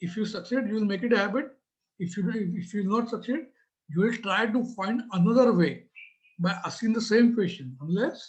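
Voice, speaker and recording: Speaking fairly quickly with an Indian accent, a man uses a high pitch and ordinary pitch variation. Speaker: business trainer. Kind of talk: talk. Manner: hesitant, many fillers.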